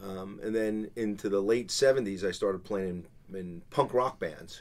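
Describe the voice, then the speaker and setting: Speaking with a New Jersey accent, a man talks at a moderate pace with a fairly low pitch and ordinary pitch variation. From New Jersey, Belleville. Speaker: karaoke company owner. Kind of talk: interview. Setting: studio.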